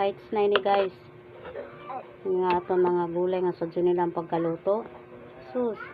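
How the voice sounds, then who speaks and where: A woman's medium-pitched voice, relaxed in tone, at a fairly slow pace with long, frequent pauses and ordinary pitch variation, over noticeable background noise. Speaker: vlogger. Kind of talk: casual mukbang vlog with voice-over. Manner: relaxed, chatty.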